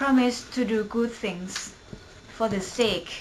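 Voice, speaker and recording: A woman speaks with a Thai accent at a fairly high pitch. Background noise is noticeable. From Thailand. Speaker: university student. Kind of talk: poetry reading.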